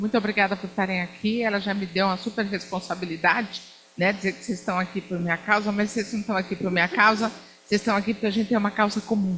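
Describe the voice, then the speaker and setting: A woman speaks at a medium pitch. There is noticeable background noise. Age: 60s. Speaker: diplomat. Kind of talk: lecture. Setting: lecture hall with student audience. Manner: animated.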